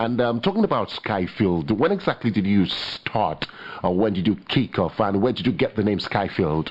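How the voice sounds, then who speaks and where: Noticeable background noise around a man's fairly low-pitched voice. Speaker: radio host. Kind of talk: radio show. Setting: radio studio.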